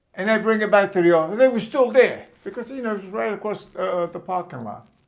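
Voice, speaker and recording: A man with a New York accent speaks at a fairly quick pace. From Brooklyn, New York. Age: 70s. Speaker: storyteller. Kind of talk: personal storytelling. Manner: halting.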